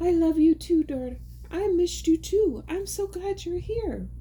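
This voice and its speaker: An extremely high-pitched, put-on character voice at a moderate pace over clear background noise. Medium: read story.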